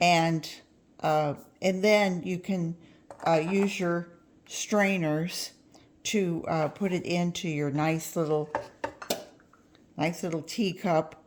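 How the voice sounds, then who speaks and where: Over noticeable background noise, a woman with a fairly low pitch speaks at a very slow pace, using fairly even intonation and long, frequent pauses. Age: 70s. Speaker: gardening channel host. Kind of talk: cooking tutorial. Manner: halting, many fillers; casual, friendly.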